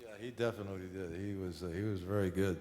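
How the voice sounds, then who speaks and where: Audible room echo surrounds a man with a New York accent who talks at a very fast pace, his very deep, low pitch held in fairly even intonation. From New York City, Harlem. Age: 70s. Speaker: painter. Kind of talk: onstage conversation. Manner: halting, many fillers.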